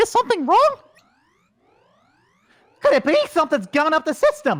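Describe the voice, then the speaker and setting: Delivered at a moderate pace, this high-pitched, put-on character voice has a cheerful tone. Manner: cheerful, cartoonish.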